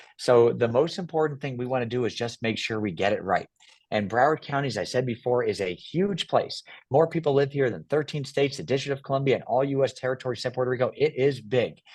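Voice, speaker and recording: Talking at a very fast pace, a man with an American accent uses a medium pitch and ordinary pitch variation against a quiet background. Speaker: property appraiser and politician. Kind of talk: interview. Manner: animated.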